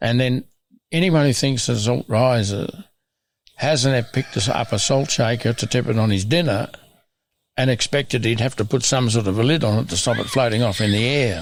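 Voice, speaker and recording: On a very clean recording with a silent background, a man with an Australian accent speaks at a moderate pace and medium pitch, with ordinary pitch variation and very even loudness. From Australia (Broken Hill, NSW). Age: 80s+. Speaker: farmer and landscape restoration expert. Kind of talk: interview conversation. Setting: on his farm.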